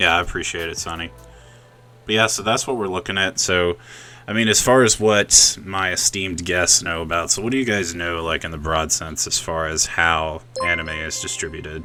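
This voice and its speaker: A man with an American accent speaks at a moderate pace in a very deep, low pitch, his tone bright and sharp with ordinary pitch variation. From US South. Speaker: podcast host. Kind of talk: casual chat. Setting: live stream via Discord.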